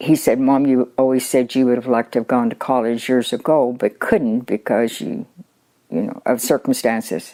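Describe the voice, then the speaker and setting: A woman speaks at a moderate pace in a very deep, low voice with a dark, mellow tone, her intonation fairly even and broken by long, frequent pauses. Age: 80s+. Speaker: college graduate. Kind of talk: interview answer.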